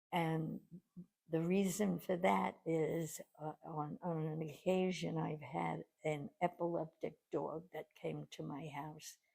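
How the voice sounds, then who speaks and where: Speaking very slowly, a woman uses a very deep, low pitch with vocal fry and a dark, mellow tone, her pitch varying in an ordinary way. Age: 80s+. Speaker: pet sitter. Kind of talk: interview answer.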